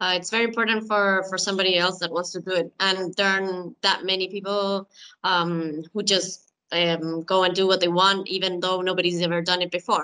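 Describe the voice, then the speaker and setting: Over a quiet background, a woman speaks at a fairly quick pace and a medium pitch. Her tone is bright and sharp, and her intonation is monotone and flat. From Chile. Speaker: hockey player; webinar panelist. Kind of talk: panel discussion. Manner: halting. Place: home room. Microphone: video call.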